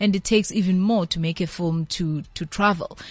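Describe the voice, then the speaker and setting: A woman talks at a fairly quick pace in a medium pitch, somewhat breathy, with fairly even intonation. The sound is dry and close, with no echo. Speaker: film organisation CEO. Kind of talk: interview.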